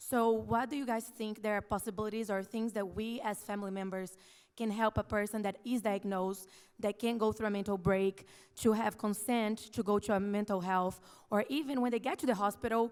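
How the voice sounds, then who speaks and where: A woman with a non-native accent speaks fairly quickly at a fairly high pitch. The recording is very clean, with a silent background. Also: fairly even intonation. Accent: has a foreign. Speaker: audience member asking a question. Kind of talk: audience question at panel discussion.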